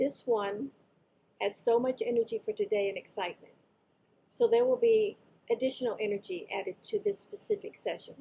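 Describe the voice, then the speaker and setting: A woman's high-pitched voice, dark and mellow in tone, fairly quick, with very wide pitch swings. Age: 70s. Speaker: spiritual channeler. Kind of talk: casual greeting; channeled spiritual talk. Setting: live session with audience.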